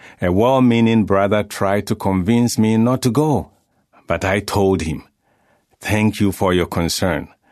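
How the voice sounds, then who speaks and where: Speaking at a fairly slow pace, a man has an unremarkable speaking voice with a fairly low pitch and ordinary pitch variation. The background is quiet. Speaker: narrator. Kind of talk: reading aloud. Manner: formal.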